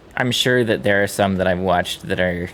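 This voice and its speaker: A man with an American accent, fairly low pitch and ordinary pitch variation. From US East Coast, Boston area. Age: 30s. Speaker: video game streamer. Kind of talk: casual chat. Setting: live stream.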